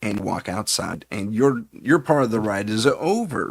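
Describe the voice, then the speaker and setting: A man speaks at a moderate pace with a Californian accent and a medium pitch. The sound is dry and close, with no echo. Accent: California. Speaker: paranormal investigator and live show host. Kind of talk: live-stream storytelling. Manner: casual, hesitant with fillers and restarts.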